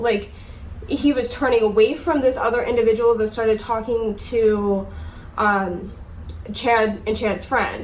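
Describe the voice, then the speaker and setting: Over noticeable background noise and audible room echo, the speech moves at a fairly slow pace. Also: woman. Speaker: YouTuber. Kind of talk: storytime. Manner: casual, filler-heavy; halting.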